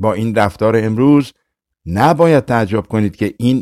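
Someone does plain reading aloud, the pitch varying in an ordinary way. Behind the voice, things stay quiet.

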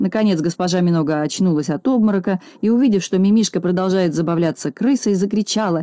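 Someone reads in a natural voice, with pitch that varies in an ordinary way.

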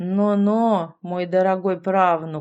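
Using a put-on character voice, the speaker hisses at a middle pitch and a fairly slow pace. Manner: hissing, sinister.

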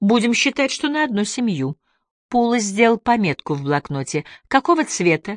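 With little behind it but quiet, a voice reads out loud in a natural way.

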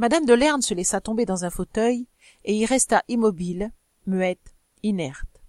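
An unforced reading voice, showing ordinary pitch variation, sits against a quiet background.

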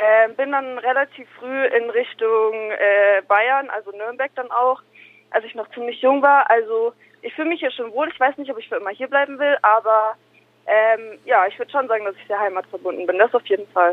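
This is an ordinary speaking voice at a moderate pace with ordinary pitch variation. Its loudness swings a lot. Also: woman, fairly high pitch for a woman. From Nuremberg, Franconia (moved there young). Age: 20s. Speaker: rapper. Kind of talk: interview.

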